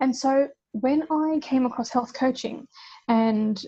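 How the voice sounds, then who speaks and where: Somewhat breathy, a woman's voice has a dark, mellow tone and ordinary pitch variation. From Australia. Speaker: health coach and teacher. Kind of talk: casual interview chat.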